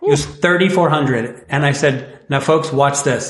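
Fairly slow and somewhat breathy, a man speaks at a fairly high pitch amid audible room echo. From Northwest Indiana. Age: 40s. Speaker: timeshare resale company representative. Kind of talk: casual interview chat.

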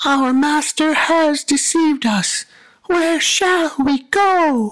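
A put-on character voice, high in pitch, at a very slow pace.

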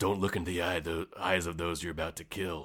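In a very clean recording with a silent background, a man uses a raspy put-on character voice, very deep and low in pitch, monotone with flat intonation, at a moderate pace. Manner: grim, portentous.

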